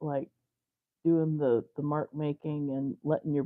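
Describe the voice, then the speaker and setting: The speaker mumbles with an American accent. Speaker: fiber artist. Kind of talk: live art tutorial chat. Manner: mumbling; casual, rambling with fillers.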